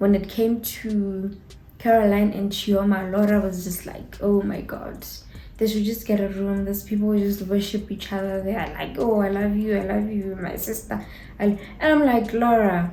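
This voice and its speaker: Somewhat breathy and dark, mellow in tone, the voice moves at a moderate pace with fairly even intonation and audible room echo. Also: woman. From Botswana. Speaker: YouTuber, TV show reviewer. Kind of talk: casual review chat. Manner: casual, hesitant with fillers.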